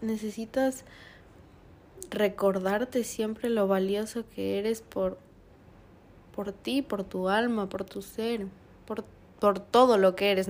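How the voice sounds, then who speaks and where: Monotone, flat intonation at a very slow pace. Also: woman. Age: 20s. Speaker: podcast guest. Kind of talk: casual chat.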